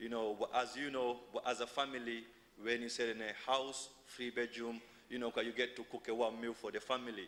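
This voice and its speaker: The voice moves at a fairly quick pace with a bright, sharp tone and monotone, flat intonation. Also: man. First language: not English. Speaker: asylum seeker campaigner. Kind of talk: public speech at council meeting. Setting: council chamber. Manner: halting, many fillers and false starts.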